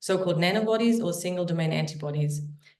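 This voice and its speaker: Medium pitch from a woman, ordinary pitch variation, and audible room echo. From Germany. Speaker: biotech company founder and CEO. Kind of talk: startup investor pitch; self-introduction in a webinar. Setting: online webinar.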